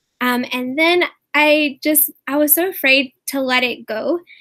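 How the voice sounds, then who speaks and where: A woman talks in a high, bright, sharp voice. Her intonation is fairly even. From upstate South Carolina. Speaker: author. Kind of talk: interview.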